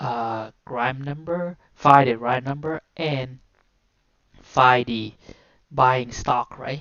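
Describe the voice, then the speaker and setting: A woman with a Vietnamese accent speaks in a very deep, low voice with ordinary pitch variation. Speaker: coding tutorial streamer. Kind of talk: live coding walkthrough. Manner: halting.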